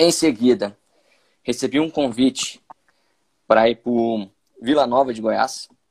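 A man speaks in a medium pitch. The recording sounds dry and close, with no echo. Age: 20s. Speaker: sports physiologist. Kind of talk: casual interview.

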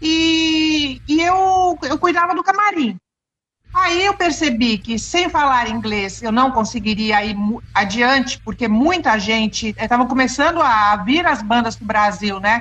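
Her high-pitched voice swings very widely in pitch as the woman talks at a fairly slow pace. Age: 50s. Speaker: former band interpreter. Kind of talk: casual interview.

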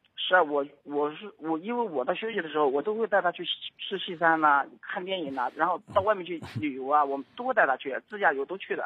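Very fast delivery with hardly any pauses. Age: 30s. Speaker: caller to advice radio show. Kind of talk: call-in advice conversation.

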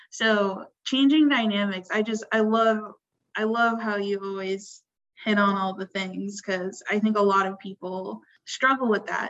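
At a fairly slow pace, a woman with a plain, everyday voice speaks at medium pitch with fairly even intonation. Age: 20s. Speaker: podcast host. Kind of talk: casual chat.

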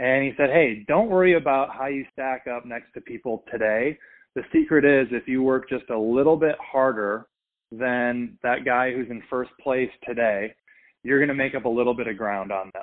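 Here a man with an American accent uses a normal speaking voice at medium pitch. He goes at a moderate pace with ordinary pitch variation. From US Midwest, Minnesota. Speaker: brand strategy firm founder and podcast host. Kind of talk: interview.

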